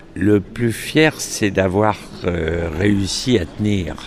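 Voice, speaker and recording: A very deep, low-pitched man's voice with ordinary pitch variation over noticeable background noise. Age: 60s. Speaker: event organizer. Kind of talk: interview. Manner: hesitant, many filler sounds.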